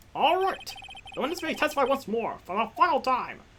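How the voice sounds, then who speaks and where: In a put-on character voice, a man speaks fairly quickly at an extremely high pitch. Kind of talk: formal courtroom speech. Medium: actual play.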